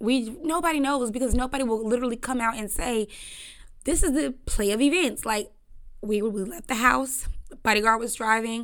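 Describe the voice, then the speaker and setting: A woman speaks at a moderate pace in a fairly high pitch, with a bright, sharp, animated tone and ordinary pitch variation. The recording is very clean, with a silent background. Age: 20s. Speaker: podcast host. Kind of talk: casual chat.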